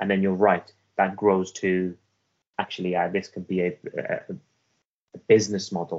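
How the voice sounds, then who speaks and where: In a Welsh accent, a man with a very deep, low voice speaks at a moderate pace with long, frequent pauses, monotone, flat intonation and big swings in loudness. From Afghanistan (Herat), raised in Wales. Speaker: author. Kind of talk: interview.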